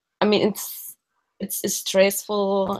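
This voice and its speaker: The speaker is a woman. She talks in a Mexican accent. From Mexico City, Mexico. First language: Spanish. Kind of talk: practice session debrief.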